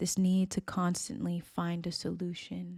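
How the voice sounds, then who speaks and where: The tone is calm and gentle. The pace is very slow. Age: 30s. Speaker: spiritual teacher. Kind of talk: reflective monologue. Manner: slow, with deliberate pauses; calm, gentle.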